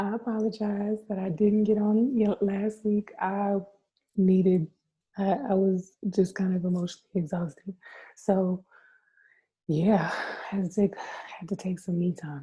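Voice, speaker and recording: A woman with a dark, mellow, somewhat breathy tone speaks with long, frequent pauses. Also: medium pitch for a woman, fairly even intonation, fairly slow pace. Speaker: tarot reader. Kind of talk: casual chat to viewers.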